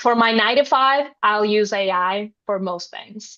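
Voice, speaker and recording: The background is silent. A woman talks with a non-native accent. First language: not English. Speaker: writer, panelist. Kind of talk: panel discussion.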